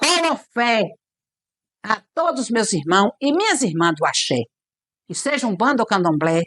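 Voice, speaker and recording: In a dry, close sound with no echo, a woman speaks at a fairly slow pace with long, frequent pauses and very wide pitch swings. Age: 60s. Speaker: Candomblé/Umbanda priestess (mãe de santo). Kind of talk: documentary interview. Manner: halting, with frequent repetitions.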